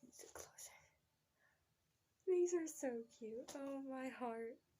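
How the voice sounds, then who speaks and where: Speaking quietly and fairly slowly, a woman has a dark, mellow tone and ordinary pitch variation. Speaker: family vlogger, expectant mother. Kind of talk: casual unboxing vlog. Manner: animated, excited; hushed to avoid waking child.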